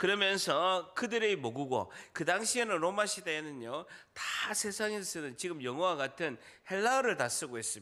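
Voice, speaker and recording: Bright and sharp in tone, a man speaks at a high pitch with very wide pitch swings. His pace is moderate on a very clean recording with a silent background. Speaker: pastor. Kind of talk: sermon.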